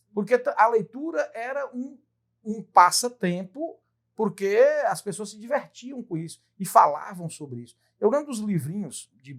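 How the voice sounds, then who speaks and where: Speaking at a fairly slow pace, a man swings his pitch very widely. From Brazil, Tocantins (Dianópolis, formerly northern Goiás). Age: 50s. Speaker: lawyer and writer. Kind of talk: interview conversation.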